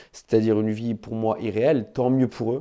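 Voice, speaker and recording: The tone is dark and mellow, with fairly even intonation. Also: man, quiet background. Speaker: podcaster and fitness coach. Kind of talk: casual monologue podcast. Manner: hesitant, many fillers.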